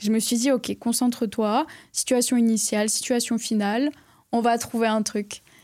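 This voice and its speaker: Captured on a very clean recording with a silent background, a woman's fairly high-pitched voice has a dark, mellow tone and monotone, flat intonation. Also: moderate pace. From southwest France, near Bordeaux. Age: 20s. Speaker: entrepreneur, online trainer. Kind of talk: casual interview. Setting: studio.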